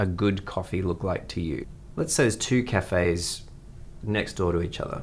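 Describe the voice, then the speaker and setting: Using a normal speaking voice, the man lets his pitch vary in an ordinary way. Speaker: radio interviewer. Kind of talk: interview chat.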